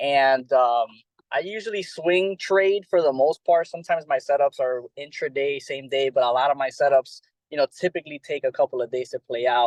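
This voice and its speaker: A man speaks at a fairly quick pace with an American accent and a fairly high pitch. His is a plain, everyday voice with ordinary pitch variation, heard in a dry, close sound with no echo. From Miami, Florida, US. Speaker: trading educator. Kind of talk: panel self-introduction.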